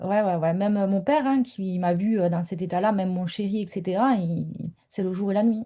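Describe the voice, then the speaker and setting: Fairly quick and somewhat breathy, a woman with a southern French accent speaks at medium pitch in a dark, mellow tone with ordinary pitch variation. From southern France. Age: 30s. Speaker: mentor, former stay-at-home mother. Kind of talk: interview testimony. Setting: home office, video call. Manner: hesitant, many fillers.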